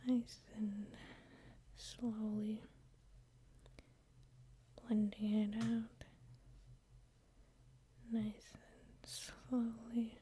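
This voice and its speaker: A soft-spoken woman talks at a very slow pace with long, frequent pauses and monotone, flat intonation. Her fairly high pitch comes with a dark, mellow tone and a somewhat breathy quality. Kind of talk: ASMR makeup tutorial, soft talking. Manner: soft-spoken, slow, relaxing.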